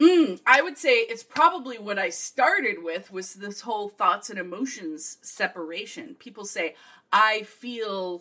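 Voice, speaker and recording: Loud and enthusiastic, a woman speaks fairly slowly at a fairly high pitch, her bright, sharp tone running through very wide pitch swings. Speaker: guest expert. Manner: loud, enthusiastic.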